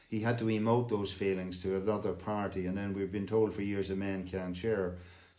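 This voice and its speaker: A man talks at a fairly quick pace in an Irish accent, his dark, mellow tone set at fairly low pitch. His intonation is monotone and flat, and the room echo is audible. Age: 60s. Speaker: singing circle host, retired lecturer. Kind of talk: casual chat.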